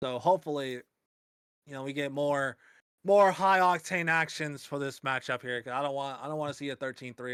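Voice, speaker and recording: A man with an unremarkable speaking voice talks at a fairly quick pace and medium pitch, with ordinary pitch variation and a dry, close sound with no echo. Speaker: esports caster. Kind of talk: live commentary. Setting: online voice call.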